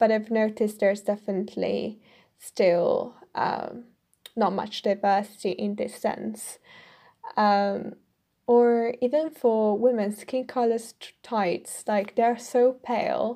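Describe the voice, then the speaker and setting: A woman's fairly high voice, dark and mellow, with a slight Italian accent, fairly even intonation and a very slow pace. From Italy. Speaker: podcaster. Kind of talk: solo commentary. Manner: hesitant with fillers.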